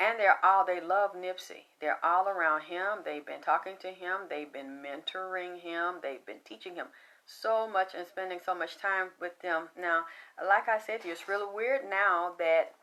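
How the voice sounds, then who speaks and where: Speaking at a moderate pace, a woman with a Southern accent has a medium pitch. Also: big swings in loudness. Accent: flat Southern. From US South. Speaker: psychic medium. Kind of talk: psychic reading monologue. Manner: animated.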